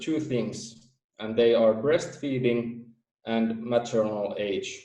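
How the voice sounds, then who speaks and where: Very slow, fairly even speech from a man with a Finnish accent, medium in pitch and dark, mellow in tone. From Finland. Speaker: theory creator presenting research. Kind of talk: presentation. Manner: halting.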